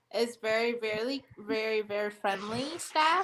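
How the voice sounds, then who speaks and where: With a non-native accent, a woman talks fairly slowly in a fairly high pitch, her tone bright and sharp and her intonation lively. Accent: noticeable non-native. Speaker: morning show co-host. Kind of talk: casual chat. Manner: hesitant, many fillers.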